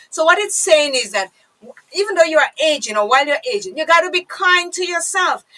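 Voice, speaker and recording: A woman's raised, projected voice, extremely high in pitch, with very wide pitch swings and a fairly quick pace. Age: 50s. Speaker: radio host. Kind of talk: casual chat.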